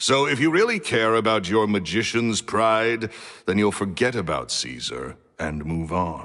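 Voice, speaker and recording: A man with a booming voice, a bright, sharp tone and a fairly low pitch talks at a fairly slow pace. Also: lively intonation. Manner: curt, dismissive.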